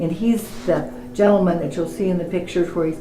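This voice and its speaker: Through noticeable background noise, a woman speaks at a fairly low pitch. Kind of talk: interview answer.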